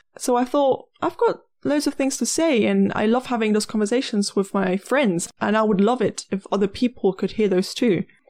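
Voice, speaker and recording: A normal speaking voice at a moderate pace. The intonation is lively and the loudness very even. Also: woman, fairly high pitch for a woman, very clean recording, silent background. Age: 20s. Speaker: podcast host, university student. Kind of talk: scripted monologue.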